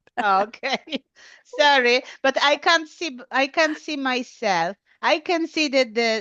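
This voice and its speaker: Speaking with a Polish accent, a woman uses lively intonation. Her pace is very slow. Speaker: English learner, clinical trials worker. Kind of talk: language lesson. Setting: video call. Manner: halting.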